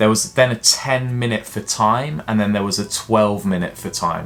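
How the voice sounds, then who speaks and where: A man's normal speaking voice at medium pitch, on a very clean recording with a silent background. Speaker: fitness coach. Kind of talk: tutorial.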